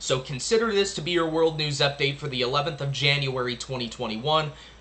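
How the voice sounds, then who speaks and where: Noticeable background noise sits behind a man speaking at a very fast pace. His voice is fairly high for a man, with ordinary pitch variation. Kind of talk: news commentary and reading articles aloud. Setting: at home. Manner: quieter than normal.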